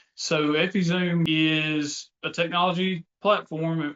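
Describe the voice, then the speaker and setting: In a Mississippi accent, a man talks at a fairly high pitch. His intonation stays fairly even. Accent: Southern US (Mississippi). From US South, North Mississippi. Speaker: tech company co-founder. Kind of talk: casual business chat.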